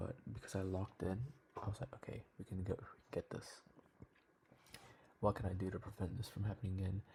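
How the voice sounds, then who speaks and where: Whispering and somewhat breathy, a man speaks at a very fast pace broken by long, frequent pauses. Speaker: trading vlogger. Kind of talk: video diary. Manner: casual.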